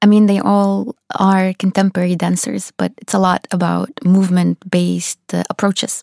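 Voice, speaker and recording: A woman with a Russian accent at a moderate pace with hardly any pauses, in a dry, close sound with no echo. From Russia, Saint Petersburg. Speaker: dance teacher. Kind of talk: interview. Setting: studio.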